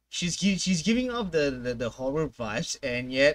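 A man is speaking. His pitch swings are big.

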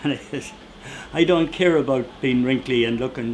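Over light background noise, a man speaks with an Irish accent. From Ireland. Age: 80s+. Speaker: woodcarver and storyteller. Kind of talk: interview answer. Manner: witty, anecdotal. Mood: animated, humorous. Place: workshop.

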